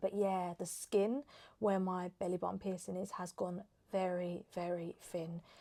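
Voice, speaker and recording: Soft-spoken and at a fairly slow pace, a woman talks in an English accent with a medium pitch. Her tone is dark and mellow, her intonation monotone and flat. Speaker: lifestyle vlogger. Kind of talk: casual chat.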